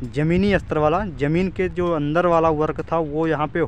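A man's fairly even intonation comes through a dry sound with no echo and light background noise. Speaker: vlogger. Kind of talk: casual vlog commentary. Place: open country. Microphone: phone near.

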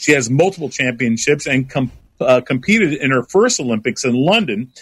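In a plain, everyday voice, a man talks at a fairly quick pace and medium pitch, the recording very clean with a silent background and a dry, close sound with no echo.

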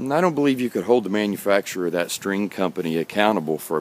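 At a fairly quick pace, a man speaks in a fairly low voice with ordinary pitch variation and a dry sound with no echo. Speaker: guitarist and video blogger. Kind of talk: casual rant to camera. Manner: hesitant, many fillers. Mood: earnest, mildly ranting. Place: garden. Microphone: phone near.

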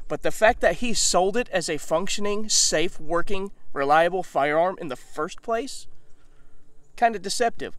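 Pitched high, a man talks with ordinary pitch variation. The sound is dry with no echo. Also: moderate pace. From Mississippi, US South. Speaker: video channel host, gun reviewer. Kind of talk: angry rant. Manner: indignant, emphatic, sarcastic. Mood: critical, aggrieved but measured. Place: open country. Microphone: phone near.

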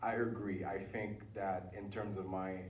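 Audible room echo surrounds a man whose very deep, low voice stays monotone and flat. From Haiti (Port-au-Prince). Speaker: writer and creative entrepreneur. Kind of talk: panel discussion.

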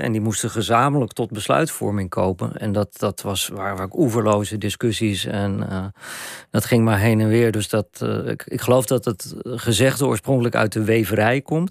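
At a moderate pace, a man speaks at a medium pitch with ordinary pitch variation, against a quiet background and a dry sound with no echo. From Randstad, Netherlands; Netherlands. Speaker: journalist and author; journalist. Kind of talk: radio interview. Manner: halting. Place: studio. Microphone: studio mic.

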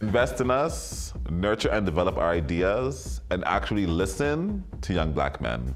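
With faint music in the background, a man speaks at a very deep, low pitch. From Toronto. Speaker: ballroom community organizer. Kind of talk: interview answer. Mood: earnest, advocating. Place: home room.

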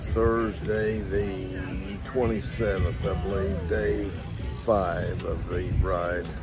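A man at a very slow pace, dry with no echo, with music in the background. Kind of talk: casual vlog chat. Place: street. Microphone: phone near.

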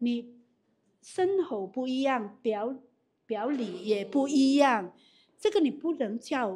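In a very clean recording with a silent background, a woman speaks with a high pitch and a dark, mellow tone. Her pace is very slow, with long, frequent pauses and very wide pitch swings. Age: 50s. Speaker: direct sales leader. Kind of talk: business talk.

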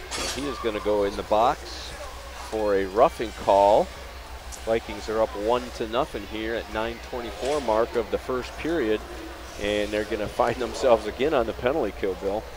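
A man with an American accent speaks at a moderate pace and fairly low pitch, with ordinary pitch variation. The sound is dry with no echo, but there is noticeable background noise. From US Midwest. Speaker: sports commentator. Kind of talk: live commentary. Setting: commentary booth at ice rink. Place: stadium. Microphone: headset.

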